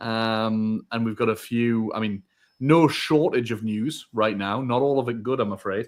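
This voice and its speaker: A man with a northeast England accent, medium in pitch, at a fairly slow pace. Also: fairly even intonation. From northern England, Northumberland. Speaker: podcast co-host. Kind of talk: live podcast chat.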